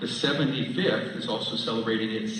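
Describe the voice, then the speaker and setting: A man speaks at a moderate pace with a medium pitch and lively intonation. Noticeable background noise runs underneath. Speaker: Army Reserve commanding general giving an assumption-of-command speech. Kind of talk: formal ceremony speech with light humor.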